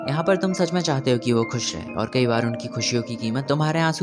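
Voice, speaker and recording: Music plays in the background as a man speaks. His medium-pitched voice has lively intonation and a moderate pace. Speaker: video essayist. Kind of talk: film analysis narration.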